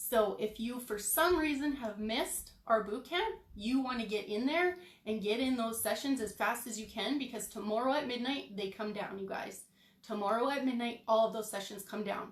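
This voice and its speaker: There is audible room echo around a woman's fairly high voice. She talks at a moderate pace with ordinary pitch variation. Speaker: online business coach. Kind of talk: live stream training. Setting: livestream. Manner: animated, frequent okay fillers.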